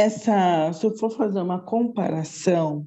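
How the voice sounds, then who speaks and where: A woman's dark, mellow tone at medium pitch, with ordinary pitch variation. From Brazil, Osasco, São Paulo. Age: 60s. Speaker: psychologist. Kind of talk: interview.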